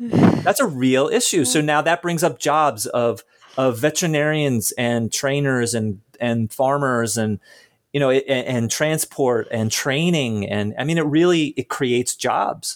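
A man with a normal speaking voice talks at a fairly slow pace. His pitch is fairly high, with ordinary variation. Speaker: podcast host. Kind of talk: interview conversation with scripted intro.

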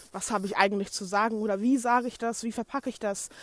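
A woman's ordinary speaking voice, fairly high in pitch with ordinary pitch variation, on a very clean recording with a silent background. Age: 20s. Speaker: podcaster and blogger, fashion design student. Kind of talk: casual solo monologue. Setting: recorded on the go.

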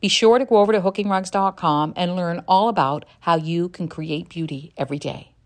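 With lively intonation, a woman talks at a medium pitch in an unremarkable speaking voice. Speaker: podcast host. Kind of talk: casual interview.

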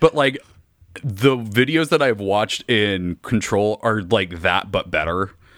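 In a very clean recording with a silent background, a man with a normal speaking voice talks at a fairly slow pace, his fairly low pitch carrying lively intonation. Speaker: podcaster and game fan. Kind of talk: casual banter about a video game.

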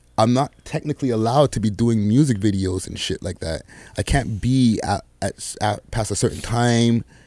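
At a moderate pace, a man talks in a dark, mellow tone, the sound dry and close with no echo. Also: medium pitch for a man, ordinary pitch variation, very clean recording, silent background. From Quebec, Montreal South Shore, Bajan household. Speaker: rapper and podcaster. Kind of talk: casual interview.

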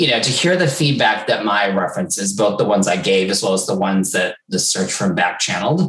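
Talking fairly quickly with hardly any pauses, a man with an American accent and an unremarkable speaking voice uses lively intonation at a fairly low pitch. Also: very even loudness. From United States. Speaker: HR executive. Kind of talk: interview conversation.

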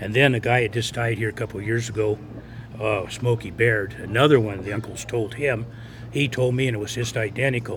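Speaking fairly quickly with an American accent, a man has a medium-pitched, somewhat breathy voice and fairly even intonation. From Lovelock, Nevada. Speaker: local resident and storyteller. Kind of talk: interview, storytelling. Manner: halting, repetitive.

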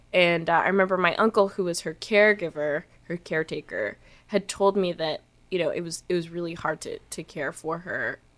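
A woman with an ordinary speaking voice talks at a fairly quick pace, her pitch fairly low and her intonation fairly even. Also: very clean recording, silent background. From Canada. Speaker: musician. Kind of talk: casual interview chat. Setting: studio.

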